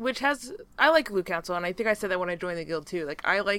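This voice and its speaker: In a very clean recording with a silent background and a dry, close sound with no echo, a woman talks at a fairly quick pace with a fairly low pitch and an ordinary speaking voice. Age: 20s. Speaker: podcast host. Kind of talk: casual chat.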